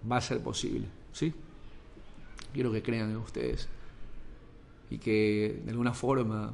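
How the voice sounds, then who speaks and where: In a room with audible echo, a man at medium pitch speaks at a fairly slow pace with fairly even intonation and long, frequent pauses. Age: 30s. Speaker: sports journalist and podcaster. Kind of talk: motivational monologue.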